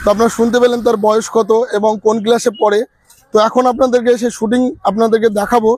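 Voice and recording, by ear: This man has an extremely high voice with a slightly husky edge and a slightly mellow tone. He talks fast, with little pitch movement.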